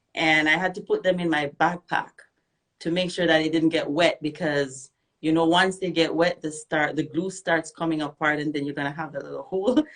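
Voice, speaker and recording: In a Jamaican accent, a woman with a very deep, low pitch talks at a fairly quick pace with fairly even intonation. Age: young. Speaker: reggae singer. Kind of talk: interview. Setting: radio and Instagram live.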